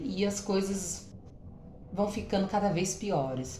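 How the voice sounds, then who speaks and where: Speaking at a fairly slow pace, a woman is heard. The recording carries noticeable background noise and audible room echo. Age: 30s. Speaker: women's health vlogger. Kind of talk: casual vlog talk to viewers. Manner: hesitant, many fillers.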